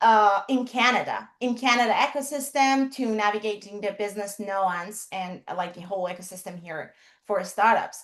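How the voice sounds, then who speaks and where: A woman with a Persian accent, speaking with hardly any pauses. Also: medium pitch for a woman, ordinary pitch variation, moderate pace. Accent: Persian (Iranian) accent in English. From Iran. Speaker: HR professional and startup consultant. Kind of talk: interview on a livestream.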